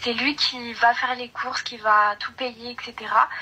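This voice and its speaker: A woman talks at a fairly slow pace in a fairly high voice with monotone, flat intonation. There is noticeable background noise. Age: 20s. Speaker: caller. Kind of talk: advice call-in conversation. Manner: halting, many hesitations.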